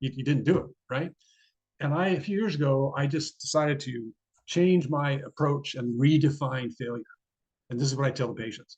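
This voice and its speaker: Man with fairly high pitch, somewhat breathy, ordinary pitch variation, long and frequent pauses. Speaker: neurologist. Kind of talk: lecture. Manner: fast.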